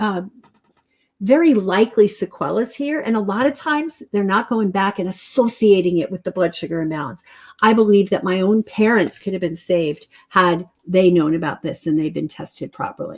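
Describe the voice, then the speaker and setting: The speech moves at a moderate pace. Its pitch swings very widely up and down. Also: woman, medium pitch for a woman. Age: 60s. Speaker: health practitioner teaching a nutrition webinar. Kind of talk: live webinar presentation. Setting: live online broadcast.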